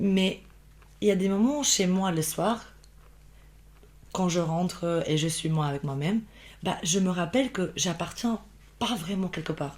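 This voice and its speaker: In a very clean recording with a silent background, a woman with a slight Albanian accent talks at medium pitch in a somewhat breathy voice. Her pace is fairly slow, with long, frequent pauses and ordinary pitch variation. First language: Albanian (speaking French). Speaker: podcast guest, immigrant professional. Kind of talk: casual interview chat. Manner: halting, many false starts and fillers.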